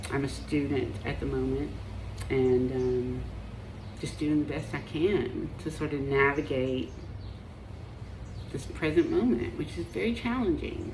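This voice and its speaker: A woman with an American accent, long, frequent pauses and audible room echo. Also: fairly slow pace. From Appalachia, US. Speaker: marriage and family therapist. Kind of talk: personal vlog monologue. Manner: hesitant, many fillers.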